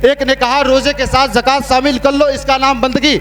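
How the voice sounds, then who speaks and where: Over noticeable background noise, a man speaks in an extremely high pitch with monotone, flat intonation. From India, Allahabad. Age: young. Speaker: Islamic preacher. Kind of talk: sermon.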